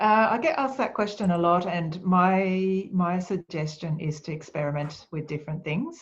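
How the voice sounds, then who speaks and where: A woman talks at a fairly slow pace in a fairly low, somewhat breathy voice with ordinary pitch variation against a quiet background. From Japan. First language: Japanese. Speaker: speaker and author on quiet leadership. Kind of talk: webinar Q&A. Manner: calm, soft-spoken.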